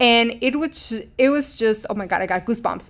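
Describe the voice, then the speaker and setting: A woman speaks at a moderate pace with ordinary pitch variation and a Mexican accent, in a very clean recording with a silent background. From Mexico. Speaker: podcast host, spiritual coach. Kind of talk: scripted intro then casual personal monologue. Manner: warm, earnest, emotive.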